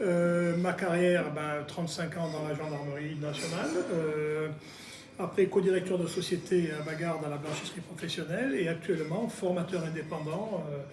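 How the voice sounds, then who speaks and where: Over noticeable background noise and audible room echo, a man speaks at a moderate pace in a high pitch with fairly even intonation. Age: 60s. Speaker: local election candidate. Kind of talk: political interview. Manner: hesitant, many fillers.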